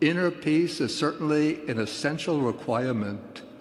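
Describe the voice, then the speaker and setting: A man with an American accent, fairly high-pitched, lively intonation, and audible room echo. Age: 80s+. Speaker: Buddhist monk. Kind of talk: panel remarks.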